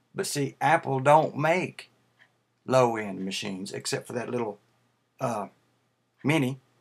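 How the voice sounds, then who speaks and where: Speaking in a Tennessee accent, a man at medium pitch uses lively intonation at a fairly slow pace with long, frequent pauses. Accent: Tennessee southern. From US South, Tennessee. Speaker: YouTuber, Mac fan. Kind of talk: casual video response vlog. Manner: halting, many fillers.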